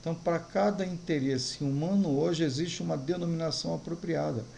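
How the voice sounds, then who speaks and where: A man with a fairly high voice talks at a moderate pace, with audible room echo and noticeable background noise behind him. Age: 60s. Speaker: pastor. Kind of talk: sermon.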